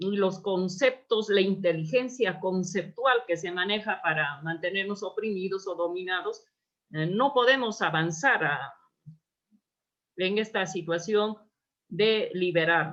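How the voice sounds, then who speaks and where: This woman speaks with an Andean accent. Her pitch variation is ordinary. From Peru, Apurímac (Andes). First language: Quechua (speaking Spanish). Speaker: anthropologist and researcher. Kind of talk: lecture. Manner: halting.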